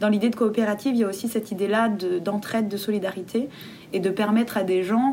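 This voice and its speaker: At a fairly quick pace, a woman speaks in a fairly high pitch over noticeable background noise. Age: 20s. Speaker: theatre director and playwright. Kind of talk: interview.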